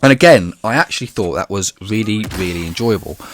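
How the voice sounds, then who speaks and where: Speaking at a fairly quick pace, a man talks in a British accent. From UK. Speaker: gaming YouTuber. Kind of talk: video commentary.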